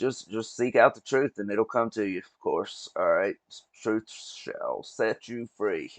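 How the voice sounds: A put-on character voice, hoarse and fairly slow, in a dry, close sound with no echo. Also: man.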